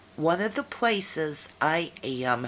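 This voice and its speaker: A woman's very deep, low voice with very wide pitch swings, an animated tone and an American accent. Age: 50s. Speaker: video blogger. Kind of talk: casual video message. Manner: chatty, animated.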